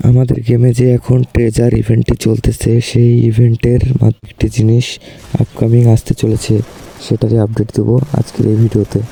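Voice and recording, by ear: A voice with vocal fry and a dark, mellow tone carries a slightly husky edge, speaking at a fairly quick pace in a monotone, flat intonation with few pauses. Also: man, medium pitch for a man.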